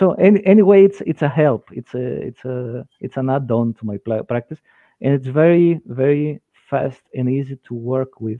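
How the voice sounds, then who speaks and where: Lively intonation in a Greek accent at a moderate pace, with big swings in loudness and a dry sound with no echo against a quiet background. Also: man. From Greece. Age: 50s. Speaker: dentist and lecturer; lecturer. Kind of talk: lecture. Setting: video call. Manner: halting. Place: home room. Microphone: headset.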